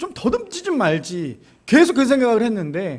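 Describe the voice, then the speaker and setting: A man is speaking. His pitch is extremely high for a man. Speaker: pastor. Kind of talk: sermon. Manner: fast.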